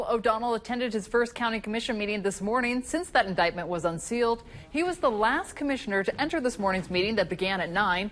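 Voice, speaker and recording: A woman with an American accent speaks at a very fast pace. Her voice sits fairly high in pitch, with lively intonation. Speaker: TV news anchor and reporter. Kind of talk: TV news field report.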